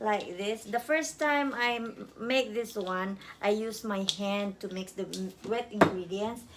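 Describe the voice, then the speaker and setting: With a Filipino accent, a woman speaks at a fairly slow pace with hardly any pauses, a fairly high pitch and ordinary pitch variation over noticeable background noise. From Philippines. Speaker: home cook vlogger. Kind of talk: cooking tutorial. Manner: halting.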